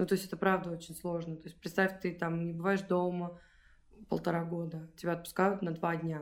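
A woman's fairly quick delivery in a monotone, flat intonation. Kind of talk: casual interview chat.

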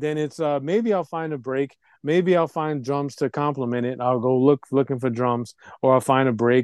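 A man with a normal speaking voice, medium pitch and ordinary pitch variation, at a moderate pace, in a dry, close sound with no echo against a quiet background. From Puerto Rican heritage, US. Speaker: hip hop producer and DJ. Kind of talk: interview. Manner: repetitive, restarts sentences.

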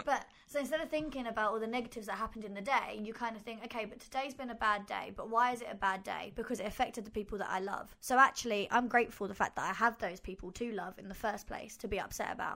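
At a very fast pace and with hardly any pauses, a woman talks at a fairly high pitch. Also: ordinary pitch variation. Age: 20s. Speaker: podcast co-host. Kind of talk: casual chat.

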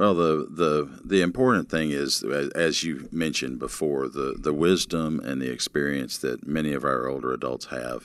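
A man with a very deep, low voice speaks with vocal fry and ordinary pitch variation. He keeps a moderate pace with hardly any pauses. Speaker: pastor and ministry program director. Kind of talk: interview conversation.

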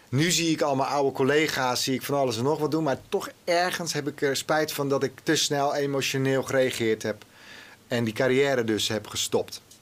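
This man's fairly high voice moves at a moderate pace with fairly even intonation. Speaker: TV executive. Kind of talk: interview. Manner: halting.

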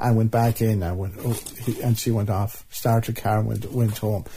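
A man with an Irish accent speaks at a medium pitch, his tone dark and mellow. His voice is somewhat breathy, and his intonation stays fairly even. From Ireland, County Leitrim. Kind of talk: interview recollection.

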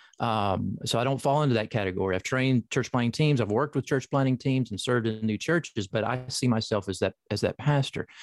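A man with a Southern US accent at medium pitch, very fast with hardly any pauses, ordinary pitch variation, and a dry, close sound with no echo against a quiet background. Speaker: professor and author. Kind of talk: interview about his book. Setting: video call.

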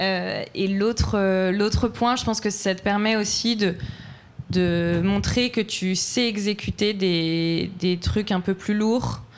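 Fairly even intonation accompanies delivery that unfolds very slowly. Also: woman. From France. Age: 20s. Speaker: entrepreneur, fashion brand founder. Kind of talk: live panel discussion. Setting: live event with audience.

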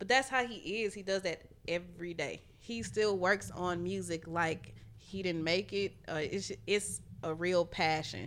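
In an American accent, a woman talks fairly slowly at a fairly low pitch, with ordinary pitch variation and vocal fry. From Houston, Texas. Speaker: music producer. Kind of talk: casual chat.

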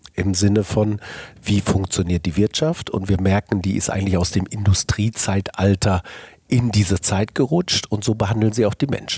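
With a dark, mellow tone, a somewhat breathy man speaks at a moderate pace, the sound dry and close with no echo. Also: ordinary pitch variation. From Ruhr area, Germany. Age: 50s. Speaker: business executive and agency founder. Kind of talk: interview. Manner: casual, colloquial with many fillers.

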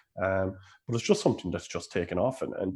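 Over a quiet background, a man with a Cork accent speaks very fast in a fairly low, somewhat breathy voice. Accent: Irish (Cork). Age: 30s. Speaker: Gaelic games coach and coaching administrator. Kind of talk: casual interview.

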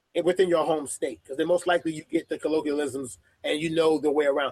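A man with a New York accent rattles along at a very fast pace in a dry, close sound with no echo. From Brooklyn, New York. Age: 30s. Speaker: sports editor. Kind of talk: interview.

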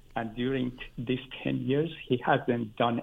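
At a very slow pace, a man speaks with monotone, flat intonation. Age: 70s. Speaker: caller. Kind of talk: call-in conversation. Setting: phone call.

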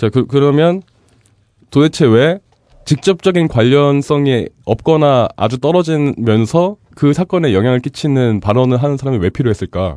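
With a dark, mellow tone and fairly high pitch, a man speaks at a moderate pace with lively intonation and very even loudness, in a dry, close sound with no echo. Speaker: culture and society commentator. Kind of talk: casual chat.

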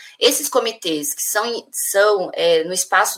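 Amid noticeable background noise, a woman's voice carries ordinary pitch variation. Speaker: union leader. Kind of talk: interview. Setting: video call.

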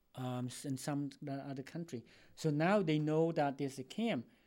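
This man speaks with a Cambodian accent. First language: Khmer. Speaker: retired educator. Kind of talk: interview. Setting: studio.

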